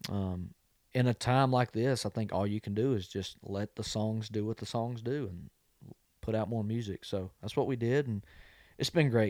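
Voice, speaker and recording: With a normal speaking voice at a medium pitch, a man talks at a moderate pace with fairly even intonation, the sound dry and close with no echo. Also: very clean recording, silent background. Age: 20s. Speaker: country singer-songwriter. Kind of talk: casual chat.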